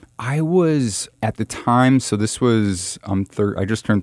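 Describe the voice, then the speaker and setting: A voice in a New York accent moves with ordinary pitch variation. The recording is very clean, with a silent background. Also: man. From New York City (Manhattan). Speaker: solar energy nonprofit co-founder. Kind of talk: interview conversation. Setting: studio, face-to-face. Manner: halting, many repeats and fillers.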